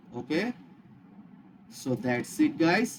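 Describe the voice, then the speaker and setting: At a fairly slow pace, a man speaks with lively intonation and fairly high pitch. Noticeable background noise runs underneath. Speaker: web development tutor. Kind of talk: coding tutorial. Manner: halting, with restarts and fillers.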